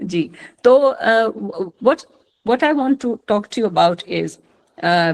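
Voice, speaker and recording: With an Indian accent, a woman speaks at a fairly high pitch and a fairly slow pace. Her pitch swings very widely, and she takes long, frequent pauses. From India, Maithili-speaking region. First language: Maithili. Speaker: retired police chief, mentor. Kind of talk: online lecture. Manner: halting, many fillers.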